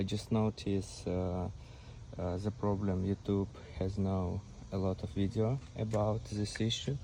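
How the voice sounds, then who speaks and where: This man has a non-native accent, a fairly low pitch, a dark, mellow tone and fairly even intonation. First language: not English. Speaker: car owner making a repair video. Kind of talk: tutorial. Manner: halting.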